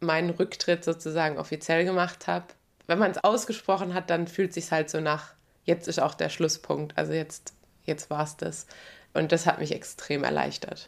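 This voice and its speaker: This woman's fairly low voice carries vocal fry and a monotone, flat intonation at a moderate pace. The recording is very clean, with a silent background. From southwestern Germany (Baden-Württemberg). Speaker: retired pro road cyclist. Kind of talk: interview. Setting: studio.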